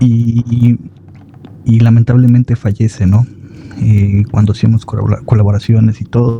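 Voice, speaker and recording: A soft-spoken man talks at a moderate pace in a medium pitch, his intonation flat and monotone and his loudness very even. Long, frequent pauses break up his speech over noticeable background noise. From Mexico. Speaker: horror story narrator. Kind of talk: casual chat.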